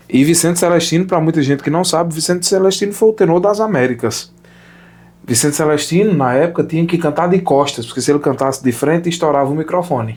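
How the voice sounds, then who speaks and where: Talking at a very fast pace, a man with a fairly high pitch keeps his loudness very even and his pitch variation ordinary. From Sertão of Pernambuco, Brazil. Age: 20s. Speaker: opera singer. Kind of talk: casual interview chat.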